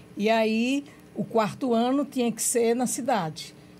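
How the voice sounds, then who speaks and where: A woman's fairly high, somewhat breathy voice with a Rio Grande do Norte accent and ordinary pitch variation. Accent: northeastern Brazilian Portuguese (Potiguar). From Brazil, Rio Grande do Norte (Macaíba, Açu, Natal). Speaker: civil engineer, former council president. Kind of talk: interview, life story. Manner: repeats words, hesitant.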